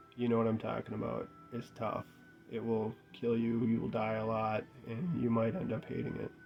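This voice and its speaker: Over background music, a man speaks at medium pitch. He keeps a moderate pace and fairly even intonation. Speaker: gaming youtuber. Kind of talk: casual video review monologue. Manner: monotone; casual, hesitant.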